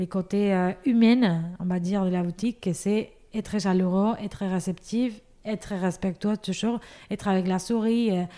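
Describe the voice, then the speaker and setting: In a Spanish accent, a woman with a dark, mellow tone and medium pitch talks fairly slowly with fairly even intonation, recorded very cleanly against a silent background. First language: Spanish (speaking French). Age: 30s. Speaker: pastry shop owner. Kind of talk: podcast interview. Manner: halting, many fillers.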